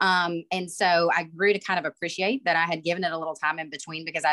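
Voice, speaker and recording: A woman talks at a very fast pace in a fairly low, bright, sharp voice. The background is quiet. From Alabama, US South. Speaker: IT manager at a utility, online MBA alumna; panelist. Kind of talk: panel discussion. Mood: reflective, earnest. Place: home room. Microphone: video call.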